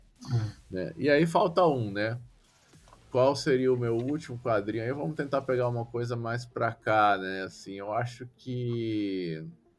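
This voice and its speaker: With music in the background, a man at a medium pitch speaks at a fairly slow pace with ordinary pitch variation. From Brasília, Brazil. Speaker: comics critic and podcaster. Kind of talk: casual interview.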